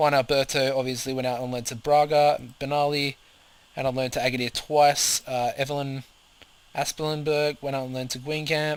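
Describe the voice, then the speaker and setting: At a fairly quick pace, a man speaks in an Australian accent. His intonation is monotone and flat. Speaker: video game commentator. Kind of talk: gameplay commentary. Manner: fast; hesitant, many fillers.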